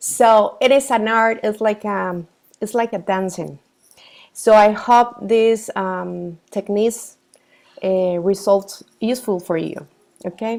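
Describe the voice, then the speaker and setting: Speaking very slowly in a Costa Rican accent, a woman uses a fairly high pitch and fairly even intonation. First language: Spanish. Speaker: professional coach. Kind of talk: workshop presentation. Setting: video call. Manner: halting, with fillers and self-corrections.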